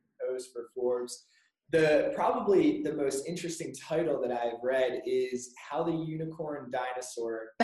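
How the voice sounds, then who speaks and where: A man with an unremarkable speaking voice, a fairly high pitch, ordinary pitch variation and a fairly slow pace. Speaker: podcast host. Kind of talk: podcast interview, conversational.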